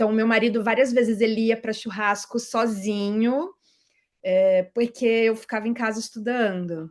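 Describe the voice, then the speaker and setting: A woman with a normal speaking voice, fairly high in pitch, at a moderate pace with fairly even intonation. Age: 30s. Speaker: tax auditor, exam-pass interviewee. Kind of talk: interview.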